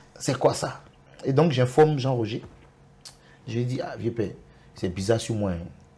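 A man with an Ivorian accent speaks at a fairly slow pace, somewhat breathy and dark and mellow in tone, with ordinary pitch variation and long, frequent pauses. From Côte d'Ivoire, Soubré; Côte d'Ivoire. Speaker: zouglou singer; guest. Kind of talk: TV interview. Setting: TV studio. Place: studio. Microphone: lapel.

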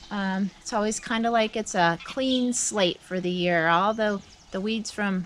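A woman speaks with fairly even intonation. Light background noise is audible. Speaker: farm vlogger. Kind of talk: casual vlog chat. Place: farm machine.

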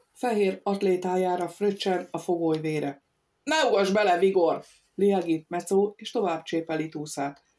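With a quiet background behind it, the passage is read in a natural reading voice.

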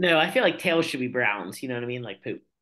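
A man's voice shows ordinary pitch variation, and the background stays quiet. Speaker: podcast co-host. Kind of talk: casual podcast banter. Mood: jokey, laughing. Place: home room. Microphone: webcam.

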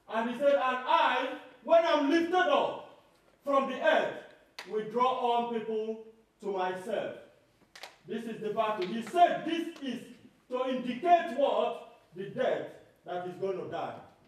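A man's extremely high-pitched voice at a fairly slow pace, lively in intonation, with big swings in loudness, long frequent pauses and strong room echo. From Nigeria. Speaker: lay preacher. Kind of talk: sermon. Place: hall.

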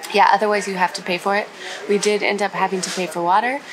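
A woman keeps a fairly quick pace as noticeable background noise plays beneath her. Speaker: travel vlogger. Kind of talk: casual vlog chat. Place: boat. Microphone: phone near.

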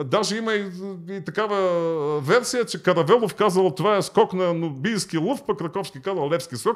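High pitch for a man, with ordinary pitch variation. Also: moderate pace, quiet background. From Bulgaria. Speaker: history professor; podcast guest. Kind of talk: interview. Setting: studio. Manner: halting. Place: studio. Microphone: studio mic.

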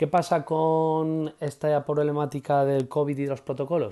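Dark, mellow tone from a man with a Castilian accent, at a moderate pace against a quiet background. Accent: Castilian Spanish (central Spain). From Spain, Madrid. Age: 30s. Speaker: preschool teacher. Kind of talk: interview. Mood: enthusiastic, warm. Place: home room. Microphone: earbuds.

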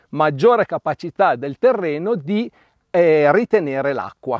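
Against a quiet background with a dry sound and no echo, a man talks at a moderate pace with lively intonation. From Piedmont, Italy (Asti area); Piedmont, Italy. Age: 50s. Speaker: winemaker. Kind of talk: interview monologue. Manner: hesitant with fillers. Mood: calm, informative. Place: farm.

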